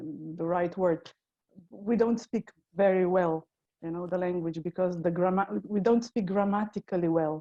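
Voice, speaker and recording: In a Slovenian accent, a woman with a dark, mellow tone and medium pitch speaks at a moderate pace with fairly even intonation, the sound dry and close with no echo. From Slovenia, Ljubljana. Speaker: tour guide. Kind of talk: casual chat.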